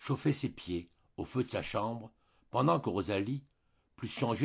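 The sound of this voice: An unforced reading voice carries the text. The intonation is lively.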